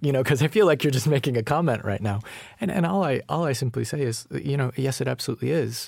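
Speaking at a very fast pace with an American accent, a man shows vocal fry, a medium pitch and ordinary pitch variation in a very clean recording with a silent background. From Colorado. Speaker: novelist. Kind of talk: conversation between writers.

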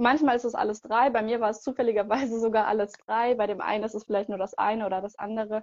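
The speech comes at a very fast pace. Its intonation is monotone and flat. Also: woman. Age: 20s. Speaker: product trainer for a sportswear brand. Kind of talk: interview. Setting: video call.

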